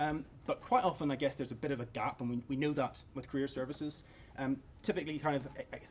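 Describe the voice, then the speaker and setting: Very fast speech with a Northern Irish accent and fairly even intonation. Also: man, fairly high pitch for a man. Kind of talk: conference presentation.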